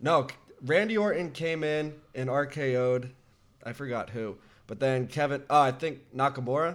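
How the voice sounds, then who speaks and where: Loudness swings a lot as a man with a fairly high pitch speaks at a moderate pace with ordinary pitch variation. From Canada. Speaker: podcast host. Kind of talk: casual chat about wrestling. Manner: casual, animated.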